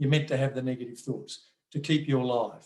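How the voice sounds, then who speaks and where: A man with an Australian accent speaks at a moderate pace in a fairly high pitch. His intonation is monotone and flat, and his voice is somewhat breathy. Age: 60s. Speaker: mindfulness workshop presenter. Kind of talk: online workshop talk. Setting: video call. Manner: halting, with repeated words and fillers.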